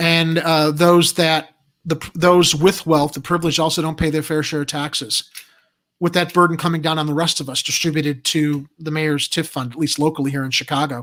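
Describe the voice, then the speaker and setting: This man has a fairly high-pitched voice. He speaks at a fairly quick pace. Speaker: political talk show host. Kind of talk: live chat show reading viewer comments. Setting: livestream. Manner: fast; animated.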